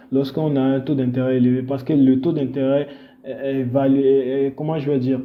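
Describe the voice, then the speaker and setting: Noticeable background noise and audible room echo surround a man's voice. He speaks at a moderate pace in a monotone with flat intonation. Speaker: forex trading educator. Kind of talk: tutorial. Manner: halting, many fillers.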